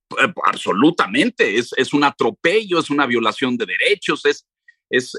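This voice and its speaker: At a moderate pace, a man speaks in a bright, sharp tone, with a dry, close sound and no echo. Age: 60s. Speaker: journalist and radio/TV presenter. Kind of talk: history lecture in radio interview.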